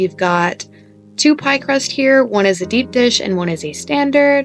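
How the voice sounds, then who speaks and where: A woman at a fairly slow pace with lively intonation, music in the background. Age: 20s. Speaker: cooking video creator. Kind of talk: baking tutorial. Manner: casual.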